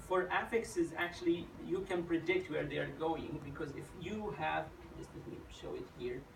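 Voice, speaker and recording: A man speaks with an Arabic accent. Noticeable background noise and audible room echo are present. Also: moderate pace, big swings in loudness. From Saudi Arabia, Najd. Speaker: graduate student. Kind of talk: thesis defense Q&A. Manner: halting.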